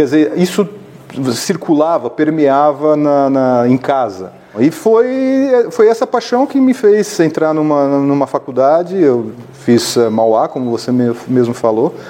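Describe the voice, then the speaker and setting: Over noticeable background noise, a man talks very slowly at a fairly high pitch with very wide pitch swings. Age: 60s. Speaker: business executive and entrepreneur. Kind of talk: interview.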